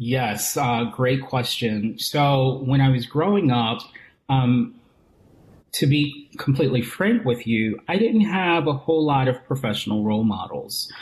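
This man's voice sits at a medium pitch and is somewhat breathy, with very even loudness. He moves along at a fairly slow pace with lively intonation. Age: 40s. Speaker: image consultant and executive coach. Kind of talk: interview.

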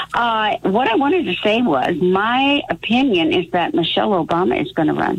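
Noticeable background noise sits behind a woman with a fairly high pitch and very wide pitch swings. She speaks with hardly any pauses and very even loudness. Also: moderate pace. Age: 80s+. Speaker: caller. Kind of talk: call-in conversation. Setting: phone call.

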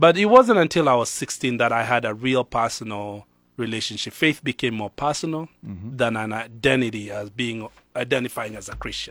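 In a very clean recording with a silent background, a man with a Kenyan accent speaks at a moderate pace and medium pitch, with ordinary pitch variation and big swings in loudness. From Kenya, Nairobi. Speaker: pastor. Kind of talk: casual chat. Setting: studio.

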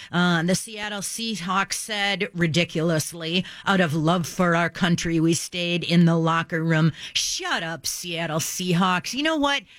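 Over noticeable background noise, a woman speaks at a fairly slow pace in a fairly low pitch with ordinary pitch variation. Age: 60s. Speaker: radio talk show host. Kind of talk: talk radio commentary. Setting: radio studio. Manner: animated.

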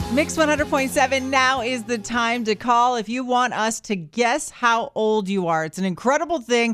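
A woman with a plain, everyday voice, fairly high in pitch. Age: 30s. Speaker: radio host. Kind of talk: morning radio banter. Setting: radio studio. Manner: upbeat.

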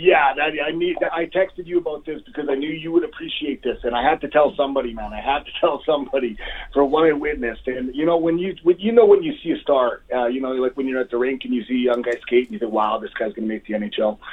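A man's rather high voice at a very fast clip, with ordinary pitch movement and noticeable background noise. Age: 40s. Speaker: pro wrestler. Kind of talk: casual chat.

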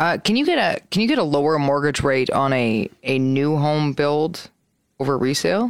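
Lively intonation marks this woman's very deep, low voice, which keeps a very even loudness at a moderate pace. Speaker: radio host. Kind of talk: casual chat. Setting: studio.

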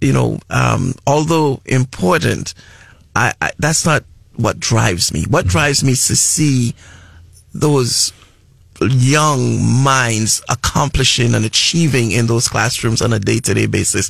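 A man with an American accent speaks at medium pitch and a fairly slow pace, somewhat breathy, with very even loudness and ordinary pitch variation. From Trinidad and Tobago. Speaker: school superintendent. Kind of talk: radio interview. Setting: radio studio.

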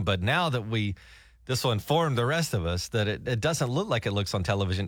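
With a Southern US accent, a man speaks at a medium pitch with lively intonation. The recording is very clean, with a silent background. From Alabama. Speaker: radio morning show host. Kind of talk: casual chat. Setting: radio studio.

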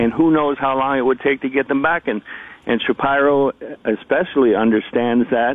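He has a normal speaking voice, with medium pitch and fairly even intonation. The man keeps a moderate pace. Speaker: baseball columnist. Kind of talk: radio interview, casual sports chat.

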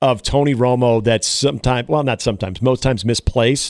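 A man with an unremarkable speaking voice at medium pitch, fairly quick in pace, with ordinary pitch variation. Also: very clean recording, silent background. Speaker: radio sports host. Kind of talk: casual sports talk radio banter. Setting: radio studio.

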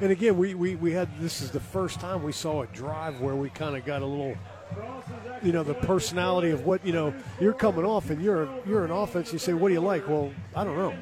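Noticeable background noise sits behind the speech. The speaker goes at a fairly quick pace with ordinary pitch variation. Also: man, high pitch for a man. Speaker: color commentator, former college football coach. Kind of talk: live football color commentary. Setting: stadium broadcast booth. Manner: halting, filler-heavy, self-repeating.

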